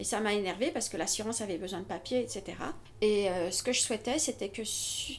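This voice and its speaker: With a medium pitch, a woman talks using ordinary pitch variation. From Paris, France. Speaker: civil servant. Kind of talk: interview. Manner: halting.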